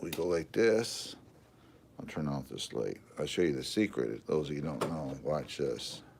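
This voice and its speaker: Relaxed in tone, a man with an American accent speaks with lively intonation and vocal fry. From Michigan. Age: 60s. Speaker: RC hobbyist live streamer. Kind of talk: casual live stream chat. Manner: relaxed, filler-heavy.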